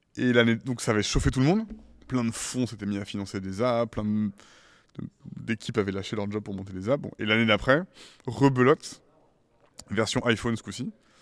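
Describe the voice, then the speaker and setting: At a fairly quick pace, a man of medium pitch talks with ordinary pitch variation and long, frequent pauses. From France (Paris and Île de Ré). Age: 30s. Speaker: tech startup CEO. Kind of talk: interview.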